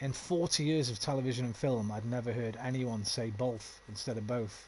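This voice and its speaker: In a West Midlands accent, the somewhat breathy voice moves at a moderate pace with ordinary pitch variation over a quiet background. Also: man, medium pitch for a man. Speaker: video game streamer. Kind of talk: live gameplay commentary with chat. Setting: live stream.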